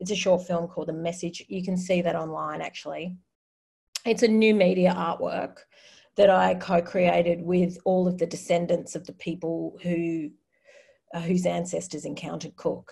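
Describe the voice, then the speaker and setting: With an Australian accent, a woman speaks at a moderate pace in a somewhat breathy, dark, mellow voice at a fairly low pitch, her intonation monotone and flat, over a quiet background. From Australia, New South Wales. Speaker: artist and designer; panelist. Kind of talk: presentation in a webinar. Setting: video call from her bedroom. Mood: engaged, reflective. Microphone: video call.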